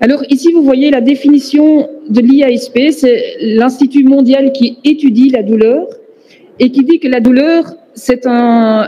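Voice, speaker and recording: Over noticeable background noise, a woman with a high pitch talks at a fairly slow pace with fairly even intonation. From Flanders, Belgium (Antwerp). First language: Dutch (speaking French). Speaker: professor, pain researcher. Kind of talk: conference lecture. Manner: hesitant, many fillers.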